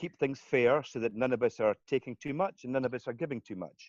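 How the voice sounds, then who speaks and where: With a Scottish accent, a man at a medium pitch speaks with lively intonation in a dry, close sound with no echo. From Scotland. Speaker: community currency founder. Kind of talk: interview.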